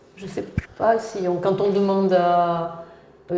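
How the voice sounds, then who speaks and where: In a fairly low pitch, a woman speaks amid noticeable background noise and audible room echo. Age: 60s. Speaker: active senior interviewee. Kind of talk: interview. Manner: halting, many hesitations.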